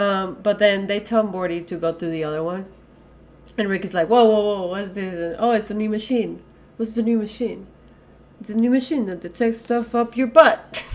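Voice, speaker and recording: A woman's animated, fairly high voice with a non-native accent, at a moderate pace with big swings in loudness. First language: not English. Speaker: podcast co-host. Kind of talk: casual chat.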